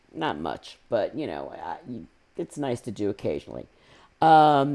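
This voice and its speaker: In a very clean recording with a silent background, a woman with a very deep, low pitch and a dark, mellow tone speaks at a fairly slow pace. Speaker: podcast guest. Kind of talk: casual chat.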